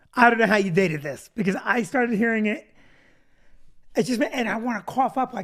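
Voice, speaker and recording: A woman's fairly high voice with lively intonation, a fairly quick pace and long, frequent pauses, on a very clean recording with a silent background. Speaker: comedy show co-host. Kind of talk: casual chat.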